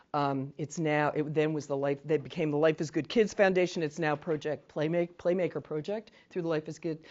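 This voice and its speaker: A woman with a very deep, low pitch talks at a fairly quick pace, hardly pausing, her intonation fairly even. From New Jersey. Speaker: trainer. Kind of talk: training lecture. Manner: fast; casual, chatty.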